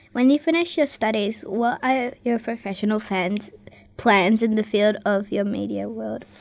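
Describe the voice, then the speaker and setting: Speaking at a moderate pace in a normal speaking voice, a woman uses a fairly high pitch with ordinary pitch variation. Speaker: radio host. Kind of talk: interview hosting. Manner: upbeat, friendly.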